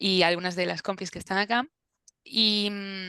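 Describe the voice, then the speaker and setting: A woman with a Galician accent speaks in a bright, sharp tone at medium pitch with fairly even intonation. The sound is dry and close with no echo, over a quiet background. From Galicia, Spain. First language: Galician (speaking Spanish). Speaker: translator. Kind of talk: interview. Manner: halting.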